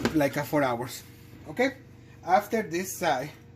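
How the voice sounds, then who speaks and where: Speaking with a non-native accent, the voice moves at a fairly slow pace. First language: not English. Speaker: home cooking video host. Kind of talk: cooking tutorial. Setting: home kitchen. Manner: halting, many fillers and restarts.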